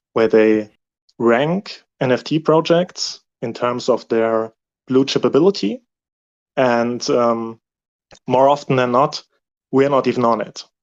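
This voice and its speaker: A man's medium-pitched voice at a fairly slow pace, with long, frequent pauses, ordinary pitch variation, and a dry, close sound with no echo. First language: not English. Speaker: community member. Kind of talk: Q&A session. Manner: halting.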